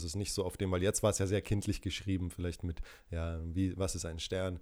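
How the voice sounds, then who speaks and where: A very deep, low-pitched male voice comes through on a very clean recording with a silent background. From Franconia, Germany (Würzburg). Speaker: actor and podcast co-host. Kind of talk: casual chat.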